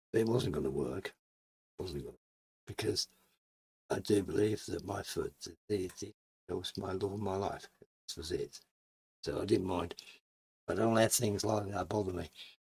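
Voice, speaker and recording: A somewhat breathy man at a fairly low pitch, with ordinary pitch variation, a moderate pace and long, frequent pauses. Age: 70s. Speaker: YouTuber. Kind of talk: interview. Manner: halting.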